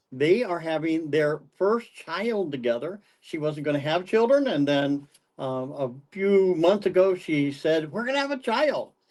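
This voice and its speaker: A man with a fairly high voice speaks at a fairly slow pace, his intonation lively. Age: 60s. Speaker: pastor in recovery community. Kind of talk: testimony in podcast interview. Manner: halting, repeats words.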